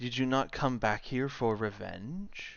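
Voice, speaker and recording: A man puts on a character voice at medium pitch. He delivers it at a fairly slow pace. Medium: actual play. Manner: smug, menacing.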